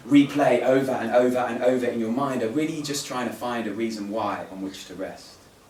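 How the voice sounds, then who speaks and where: A man talks at a fairly quick pace and a medium pitch, with hardly any pauses. His loudness swings a lot, and noticeable background noise runs underneath. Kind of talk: spoken word poetry performance at a live event. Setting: live poetry event at a museum. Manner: narrative, wry, storytelling delivery.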